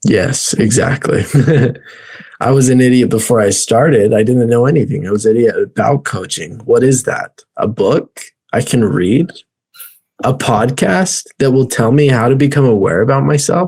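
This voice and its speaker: Somewhat breathy, a man speaks at a medium pitch for a man and a moderate pace, with ordinary pitch variation and very even loudness. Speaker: life coach and podcast host. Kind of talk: casual podcast conversation.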